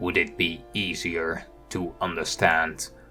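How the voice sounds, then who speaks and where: A man puts on a character voice with a very deep, low pitch and a very slow delivery. Clear music plays behind him. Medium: role play.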